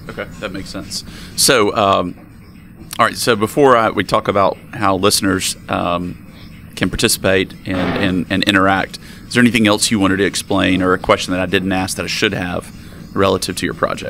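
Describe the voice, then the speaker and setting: A man speaks with an American accent in a fairly low pitch and fairly even intonation. Noticeable background noise can be heard. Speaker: crypto podcast interviewer. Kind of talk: interview. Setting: conference interview room.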